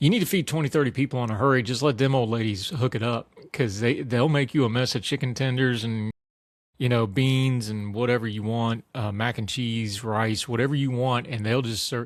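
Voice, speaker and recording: On a very clean recording with a silent background, a man with an American accent talks at a fairly quick pace and medium pitch. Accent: Southern Appalachian, stronger when at home. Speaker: political commentator and writer. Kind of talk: casual interview chat. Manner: animated; rambling with restarts and fillers.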